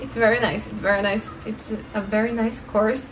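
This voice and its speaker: A woman with a Brazilian accent speaks at a fairly high pitch over light background noise. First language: Portuguese. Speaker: language-learning vlogger. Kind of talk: casual tutorial vlog. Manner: halting, with fillers and repeats. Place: home room. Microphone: phone near.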